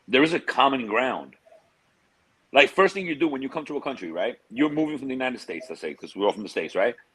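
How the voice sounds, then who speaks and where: A man talks at a very fast pace in an animated tone with vocal fry. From New York (Queens), born in Europe. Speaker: expat sharing experiences. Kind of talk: casual interview chat. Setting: livestream.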